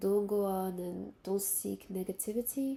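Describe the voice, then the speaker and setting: A somewhat breathy woman's voice at medium pitch, with a French accent. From Benin and Central African Republic, French-speaking. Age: 20s. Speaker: vlogger. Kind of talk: casual monologue to camera. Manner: halting, with fillers and restarts.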